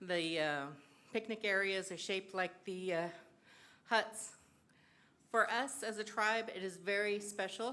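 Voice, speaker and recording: A woman with an American accent and a bright, sharp tone, at a fairly slow pace with long, frequent pauses, amid audible room echo. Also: medium pitch for a woman, ordinary pitch variation. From San Gabriel, California. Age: 60s. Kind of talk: public comment. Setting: city council chamber.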